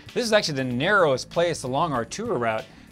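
A man talks at a very fast pace while faint music plays in the background. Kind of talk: interview answer. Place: tunnel cave.

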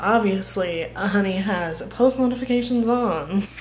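A woman is speaking in a room with audible echo. Noticeable background noise can be heard too. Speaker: family vlogger. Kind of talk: casual vlog chat.

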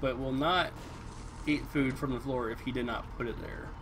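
A man's fairly high voice at a fairly slow pace over noticeable background noise. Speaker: gaming live streamer. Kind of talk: let's play live stream commentary. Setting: home streaming setup. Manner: casual, halting with frequent fillers. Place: home room.

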